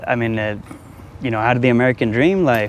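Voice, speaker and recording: A man of medium pitch speaks at a moderate pace with fairly even intonation over noticeable background noise. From Albuquerque, New Mexico. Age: 30s. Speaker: homeless man. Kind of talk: street interview.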